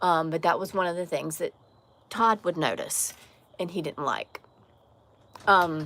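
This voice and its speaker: A woman with a slight Southern US accent speaks at a fairly slow pace with long, frequent pauses. Her voice is fairly low in pitch with a bright, sharp tone and ordinary pitch variation, on a very clean recording with a silent background. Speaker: live streamer. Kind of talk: casual chat.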